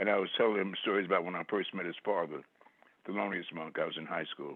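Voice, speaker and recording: This man speaks in a very deep, low register with fairly even intonation. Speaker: poet. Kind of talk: interview answer.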